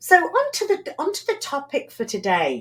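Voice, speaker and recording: Over a very clean recording with a silent background, a woman speaks at a fairly slow pace in a British accent. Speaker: podcast host. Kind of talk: interview.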